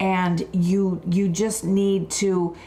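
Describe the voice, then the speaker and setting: A woman at medium pitch, somewhat breathy, with monotone, flat intonation and an American accent. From Buffalo, New York. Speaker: wellness and skincare expert. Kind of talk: live wellness talk.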